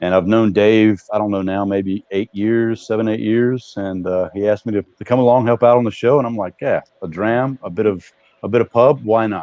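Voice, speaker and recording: Fairly quick and fairly even in intonation, a man with an American accent talks at a fairly low pitch in an unremarkable speaking voice. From Montana, US. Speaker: whisky club founder. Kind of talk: casual chat.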